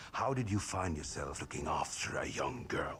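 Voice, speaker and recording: A put-on character voice from a man, fairly low in pitch, at a moderate pace over clear background noise. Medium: short film. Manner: playful, boisterous.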